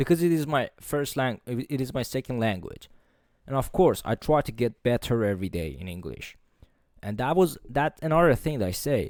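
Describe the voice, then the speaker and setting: Speaking with a non-native accent, a man uses lively intonation at medium pitch and a moderate pace. The recording is very clean with a silent background, and the sound is dry and close with no echo. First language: not English. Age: 20s. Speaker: motivational podcaster. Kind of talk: solo podcast monologue. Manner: forceful, profanity-laden; occasional stumbles.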